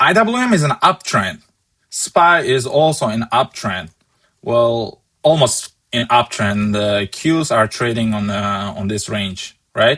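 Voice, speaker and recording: With a non-native accent, a man speaks at a medium pitch and a very slow pace. His tone is bright and sharp, and his intonation is lively. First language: not English. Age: 20s. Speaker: stock market trader and streamer. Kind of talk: live market analysis stream. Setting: live stream with chat.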